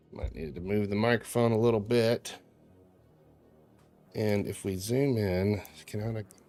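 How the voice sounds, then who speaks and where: Moderately paced talking over background music. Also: man. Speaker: game developer streamer. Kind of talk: casual livestream chat. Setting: at home. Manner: casual, self-talking.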